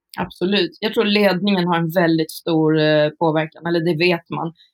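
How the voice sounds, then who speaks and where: Her pitch is fairly low. This woman speaks at a moderate pace. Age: 40s. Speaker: psychiatric care worker, author and lecturer. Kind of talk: casual interview conversation.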